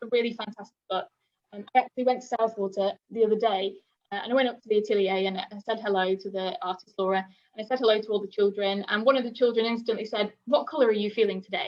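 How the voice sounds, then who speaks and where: A woman's fairly high voice at a very fast pace, with fairly even intonation and big swings in loudness. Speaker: nursery leader giving parent workshop. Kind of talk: presentation to parents. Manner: hesitant with many fillers.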